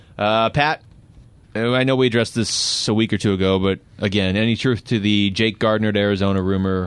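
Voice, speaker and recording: With an ordinary speaking voice, a man talks at a fairly quick pace and fairly low pitch, his loudness very even and his intonation fairly even. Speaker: podcast host. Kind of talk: casual chat.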